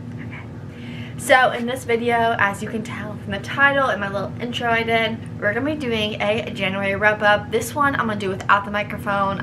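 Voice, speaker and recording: A woman speaks at a moderate pace with a medium pitch. The recording has audible room echo and noticeable background noise. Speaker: book YouTuber, journalism student. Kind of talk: casual vlog, book wrap-up. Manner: nervous, halting at times.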